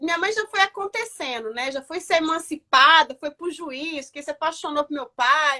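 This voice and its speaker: A woman's high, bright, sharp voice carries an animated tone and ordinary pitch variation in a dry, close sound with no echo. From Brazil, northwestern Paraná. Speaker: TV and radio presenter, entrepreneur. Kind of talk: interview. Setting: live stream.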